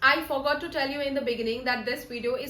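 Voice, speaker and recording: A woman with a high pitch uses a raised, projected voice. Noticeable background noise and audible room echo fill the recording. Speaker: soft skills trainer. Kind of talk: tutorial. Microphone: broken mic, some noise.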